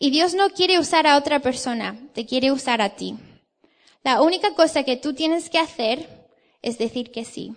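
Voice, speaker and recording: A high-pitched woman's voice with an English accent. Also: ordinary pitch variation, moderate pace. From England. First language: English (speaking Spanish). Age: 20s. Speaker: theology student, guest preacher. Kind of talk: sermon. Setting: church.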